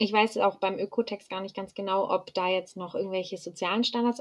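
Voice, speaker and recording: A woman with a medium pitch talks very fast while her intonation stays fairly even. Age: 20s. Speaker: university student. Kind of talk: casual interview.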